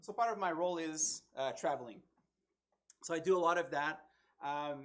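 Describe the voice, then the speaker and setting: A man's fairly high pitch with ordinary pitch variation, at a moderate pace. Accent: slight French Canadian. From Quebec, French Canada. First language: French. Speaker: tech conference speaker, developer evangelist. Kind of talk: technical talk at a meetup. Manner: casual, many fillers.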